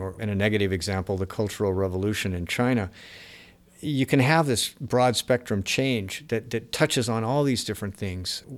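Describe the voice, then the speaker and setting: Pitched fairly low, a man with a plain, everyday voice moves at a fairly quick pace with ordinary pitch variation on a very clean recording with a silent background. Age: 50s. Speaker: economics writer. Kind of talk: interview.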